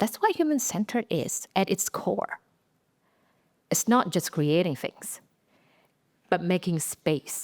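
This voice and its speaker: In a dry, close recording with no echo, a woman with an Indonesian accent speaks very slowly at a medium pitch, her intonation lively and her pauses long and frequent. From Indonesia (Aceh, Sumatra). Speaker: design leader and speaker. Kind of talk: inspirational talk. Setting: stage with audience. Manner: halting.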